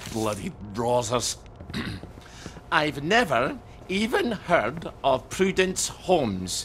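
A man's put-on character voice, fairly high pitched and fairly bright, with big pitch swings at a very slow pace

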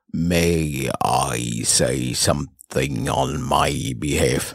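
A man's raspy, very deep, low voice at a very slow pace, with fairly even intonation. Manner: calm, earnest.

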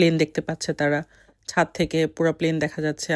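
A woman's very deep, low-pitched voice. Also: dry, close sound with no echo, very clean recording, silent background. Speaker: travel vlogger, mother. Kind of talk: travel vlog narration.

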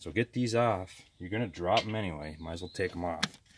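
Noticeable background noise under speech at a fairly quick pace. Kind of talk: tutorial. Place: workshop. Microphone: phone near.

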